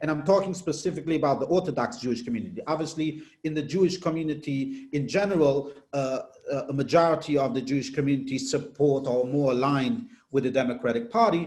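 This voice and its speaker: A man speaks at a very fast pace with a non-native accent, his pitch fairly high. His voice is somewhat breathy, with ordinary pitch variation. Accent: foreign. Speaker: political reporter. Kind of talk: interview.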